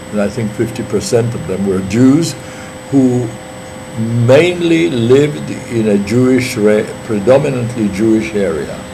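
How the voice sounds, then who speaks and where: With audible room echo and noticeable background noise, a man talks at a fairly slow pace. His intonation is lively. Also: medium pitch for a man. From Poland, Warsaw. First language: Polish. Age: 80s+. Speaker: witness to history. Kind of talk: oral history interview. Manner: halting, with many fillers.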